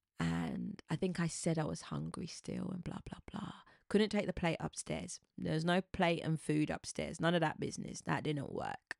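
In a very clean recording with a silent background and a dry, close sound with no echo, a woman with a British accent speaks at a moderate pace with hardly any pauses. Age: 40s. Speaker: podcast host. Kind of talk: storytelling monologue.

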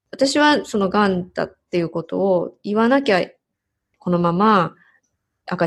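Against a quiet background, a woman at a medium pitch speaks at a moderate pace, her pitch swinging very widely. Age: 40s. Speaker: bilingual MC and narrator. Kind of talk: interview.

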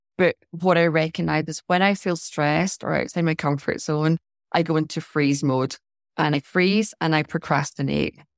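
A woman with a Scottish accent speaks in a very deep, low voice with fairly even intonation. The sound is dry and close with no echo, on a very clean recording with a silent background. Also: moderate pace. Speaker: life and decluttering coach. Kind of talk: interview.

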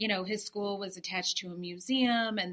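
A woman with an American accent speaks at a fairly quick pace and a medium pitch. Her tone is bright and sharp, and her intonation is fairly even. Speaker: artist and interior designer. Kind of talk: interview. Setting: gallery, in person.

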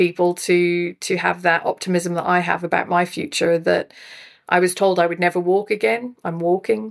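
A woman speaks at a moderate pace in a fairly low pitch. Her intonation stays fairly even. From Scotland. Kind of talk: interview, personal story.

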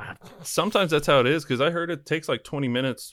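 A man with a Midwestern US accent at a very fast pace. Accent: US Midwest. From Kansas, Wichita. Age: 30s. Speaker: food reviewer. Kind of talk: casual chat.

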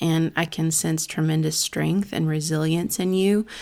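On a very clean recording with a silent background, a woman has an ordinary speaking voice at a fairly low pitch. She talks at a moderate pace with fairly even intonation. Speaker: podcast host and author. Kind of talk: interview, conversational. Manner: warm, friendly.

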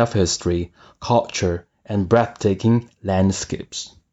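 A man with a Chinese accent speaks at a moderate pace. His pitch variation is ordinary. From China. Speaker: guest describing a landmark. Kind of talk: scripted narration.

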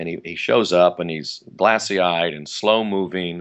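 At a moderate pace, a man with an American accent speaks in a very deep, low pitch with fairly even intonation. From US West Coast, Los Angeles County (Pasadena area). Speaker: actor and comedian. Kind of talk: interview. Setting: remote interview.

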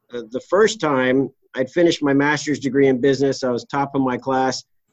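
An ordinary speaking voice from a man with an American accent, medium in pitch with ordinary variation, at a fairly quick pace. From US East Coast. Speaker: trial lawyer. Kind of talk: casual interview.

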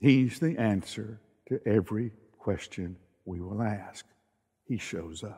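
Speaking at a fairly slow pace with long, frequent pauses, a man with a Southern US accent has a dark, mellow tone and a fairly low pitch. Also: ordinary pitch variation. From US South. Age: old. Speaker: pastor. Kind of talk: sermon. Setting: online worship service.

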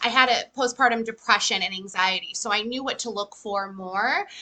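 With an American accent, a woman speaks in a high pitch with a bright, sharp tone and lively intonation. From Massachusetts. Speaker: EFT practitioner. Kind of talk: casual interview.

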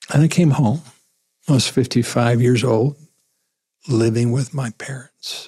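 A man's dark, mellow, somewhat breathy voice with an American accent, fairly slow pace and fairly even intonation. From southwest Missouri. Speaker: pastor. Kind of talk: interview.

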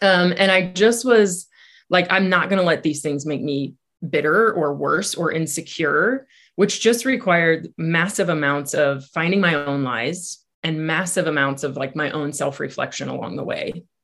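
In a quiet background, a woman with a normal speaking voice talks at a moderate pace, her fairly low pitch carrying lively intonation. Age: 40s. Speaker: life coach. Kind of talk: interview.

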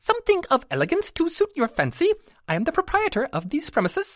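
A squeaky, put-on character voice at an extremely high pitch, delivered at a very fast pace. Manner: perky.

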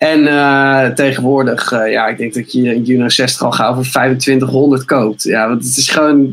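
Monotone, flat speech from a man at medium pitch, with hardly any pauses. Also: fairly slow pace. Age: 20s. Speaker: video maker and musician. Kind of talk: casual chat.

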